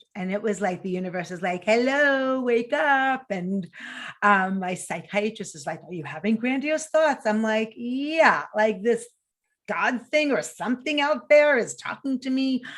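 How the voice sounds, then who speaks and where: A woman with a New York accent talks at a moderate pace in an animated tone, with very wide pitch swings and big swings in loudness, in a very clean recording with a silent background. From New York City. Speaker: mental health nonprofit founder. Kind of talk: interview.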